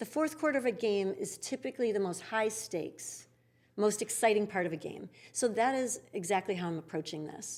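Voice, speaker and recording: Speaking in an ordinary speaking voice, a woman moves at a fairly quick pace with a fairly high pitch and lively intonation. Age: 60s. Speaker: yoga studio founder. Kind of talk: interview conversation.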